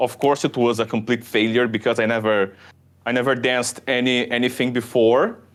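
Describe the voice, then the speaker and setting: This man speaks with a Brazilian accent at a medium pitch. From southern Brazil. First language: Portuguese. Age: 20s. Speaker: shuffle dancer. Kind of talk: podcast interview. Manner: halting, many repetitions and fillers.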